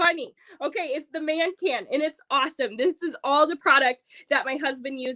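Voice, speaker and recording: A woman speaks with an American accent. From Michigan (Roscommon). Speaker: direct sales consultant. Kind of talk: sales pitch. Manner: animated.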